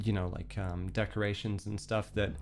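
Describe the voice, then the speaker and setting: A man's fairly low voice comes through as music plays in the background. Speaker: virtual streamer. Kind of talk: casual livestream storytelling. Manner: hesitant, many fillers.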